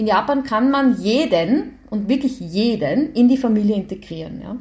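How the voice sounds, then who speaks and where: This woman has a plain, everyday voice, pitched fairly high. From Austria, Graz. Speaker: professor. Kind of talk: interview.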